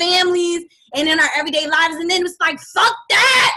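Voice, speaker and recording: A woman speaks in a raised, projected voice with a bright, sharp tone at an extremely high pitch. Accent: American. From DMV area (Washington DC region). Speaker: author and former singer. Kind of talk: interview. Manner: passionate, heated at times.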